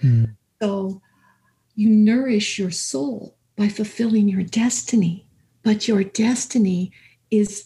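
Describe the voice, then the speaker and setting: A woman speaks at a very slow pace with a medium pitch and ordinary pitch variation. Her somewhat breathy voice has a dark, mellow tone. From Canada, southern Alberta. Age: 70s. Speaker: life coach. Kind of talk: interview. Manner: halting.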